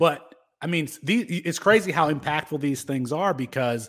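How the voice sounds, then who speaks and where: On a very clean recording with a silent background, a man with an American accent speaks in an unremarkable speaking voice at a moderate pace, his fairly high pitch carrying lively intonation. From Michigan (Kalamazoo). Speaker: sports podcast host. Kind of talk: casual sports chat.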